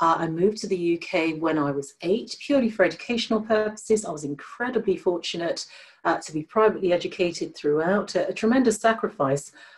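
With hardly any pauses, a woman rattles along at a very fast pace and lively intonation against a quiet background. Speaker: diversity and inclusion leader, guest speaker. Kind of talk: presentation and Q&A on a webinar. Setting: video call. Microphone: video call.

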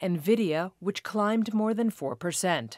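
At a fairly slow pace, a woman speaks in a normal speaking voice at medium pitch, with a dry, close sound with no echo on a very clean recording with a silent background. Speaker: news reader. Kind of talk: scripted newsreading of market report. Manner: formal, brisk, even-toned.

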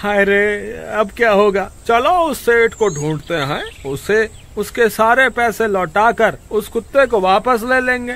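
A man puts on a whiny character voice, high in pitch, at a fairly slow pace. Light background noise sits behind him. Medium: read story. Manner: panicky, whining.

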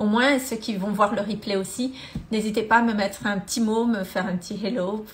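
A woman's somewhat breathy voice sits at a fairly high pitch with fairly even intonation. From Madagascar. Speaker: energy therapist and coach; money mindset coach. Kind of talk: live-stream testimony and talk. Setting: live video stream. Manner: hesitant, many fillers. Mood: warm, earnest. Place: home room. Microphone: phone near.

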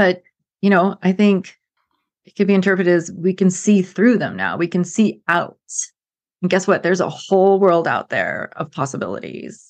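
Against a quiet background, a woman with a medium pitch and vocal fry talks at a moderate pace with fairly even intonation. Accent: American. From United States. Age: middle-aged. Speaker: former environmental planner, climate speaker. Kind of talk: casual interview conversation.

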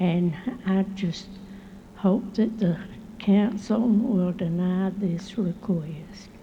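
A woman's medium-pitched voice with a Southern US accent, monotone, flat intonation, very slow pace and audible room echo. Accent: Southern US (Georgia). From Columbus, Georgia, US South. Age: 80s+. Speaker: resident. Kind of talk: public comment at council meeting. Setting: city council chamber podium.

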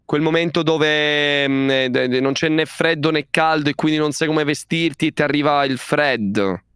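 Hardly pausing, a man with a fairly high pitch speaks at a moderate pace with fairly even intonation and very even loudness. The sound is dry with no echo, and the background is quiet. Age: 20s. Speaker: streamer. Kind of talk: casual chat. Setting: video call. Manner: halting. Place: home room. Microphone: headset.

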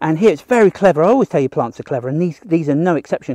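Recorded with a dry sound with no echo against a quiet background, a man speaks in a dark, mellow tone with ordinary pitch variation. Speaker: nature educator hosting a livestream. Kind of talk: casual livestream nature talk. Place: forest. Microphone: phone near.

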